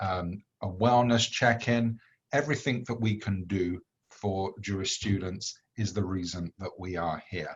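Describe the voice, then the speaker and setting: Speaking slowly with a British accent, a man uses a fairly low, somewhat breathy voice with ordinary pitch variation. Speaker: executive director of a campus organization. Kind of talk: welcome presentation.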